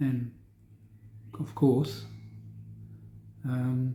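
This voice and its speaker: A dark, mellow tone, somewhat breathy. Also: man. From South Australia. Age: 60s. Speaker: Parkinson's patient video diarist. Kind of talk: personal video diary. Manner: rambling, hesitant with fillers.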